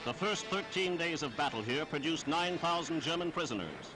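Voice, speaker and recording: Music in the background behind a fairly high-pitched man talking at a fairly quick pace. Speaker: newsreel announcer. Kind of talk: wartime newsreel narration. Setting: archival 1940s recording.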